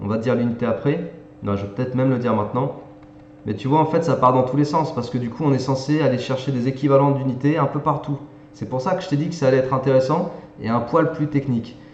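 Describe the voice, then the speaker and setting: A man speaks at a fairly quick pace, his voice carrying audible room echo over noticeable background noise. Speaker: math and physics tutor. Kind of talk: tutorial. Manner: casual, conversational.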